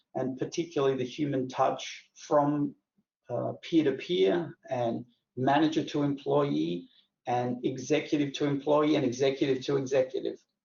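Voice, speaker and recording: Using an American accent, a man speaks at a moderate pace with a fairly high pitch and vocal fry. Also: ordinary pitch variation. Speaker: company host. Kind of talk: webinar introduction.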